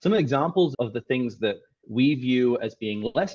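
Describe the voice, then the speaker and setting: This man has a medium-pitched voice with an Australian accent. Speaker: tech startup CEO and co-founder. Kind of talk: presentation. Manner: halting, with many restarts.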